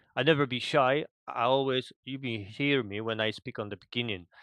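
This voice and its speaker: In a Polish accent, a man of medium pitch talks with fairly even intonation, the sound dry and close with no echo against a quiet background. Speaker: gamer. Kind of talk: casual chat.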